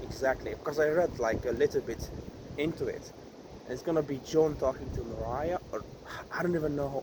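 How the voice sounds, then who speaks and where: A man with a Hungarian accent speaks at a fairly high pitch, keeping his intonation fairly even and leaving long, frequent pauses. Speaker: vlogger. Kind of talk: vlog monologue. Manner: halting.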